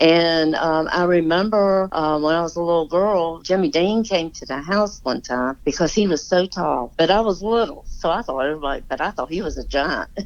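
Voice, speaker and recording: A woman with a Southern US accent and a fairly low pitch, at a moderate pace with ordinary pitch variation and hardly any pauses. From US South, Virginia / Washington DC area. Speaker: daughter of a famous musician. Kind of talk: casual interview. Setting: phone call.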